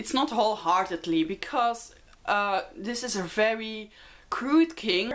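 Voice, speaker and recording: A woman speaks at a fairly slow pace in a Dutch accent. Her fairly high voice has lively intonation. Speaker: book vlogger. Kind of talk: casual book review vlog. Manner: hesitant with many fillers.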